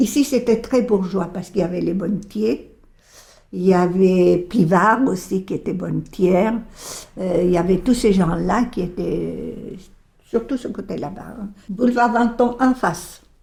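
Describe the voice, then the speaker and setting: A woman's dark, mellow voice of medium pitch, with vocal fry, ordinary pitch variation and a fairly slow pace. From Bolivia. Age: 80s+. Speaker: retiree. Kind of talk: interview testimony.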